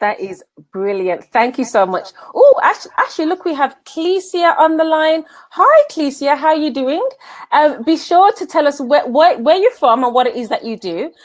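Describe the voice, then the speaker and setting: In a Birmingham accent, a woman speaks at a high pitch with very wide pitch swings. Her pace is moderate. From England, Birmingham. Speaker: business coach. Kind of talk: live stream interview. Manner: animated.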